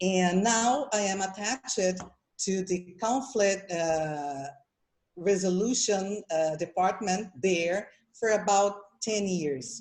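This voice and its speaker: Speaking very slowly in a Portuguese accent, a woman uses a medium pitch with ordinary pitch variation. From Brazil. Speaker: mediator. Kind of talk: conference presentation. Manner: halting.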